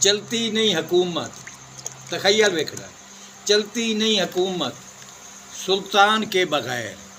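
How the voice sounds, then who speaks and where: Noticeable background noise runs under a man's raised, projected voice. It sits high in pitch with ordinary pitch variation. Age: old. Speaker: poet. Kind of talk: poetry reading. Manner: soulful.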